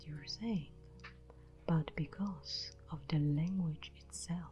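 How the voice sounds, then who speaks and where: A woman talks extremely unhurriedly as music plays in the background. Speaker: ASMR creator. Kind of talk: scripted narration. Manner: soft-spoken; normal voice, not whispering.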